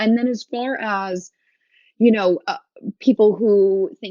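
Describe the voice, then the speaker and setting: Her pitch varying in an ordinary way, a woman talks fairly slowly. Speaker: cannabis business founder. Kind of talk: interview. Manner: loud; casual, animated.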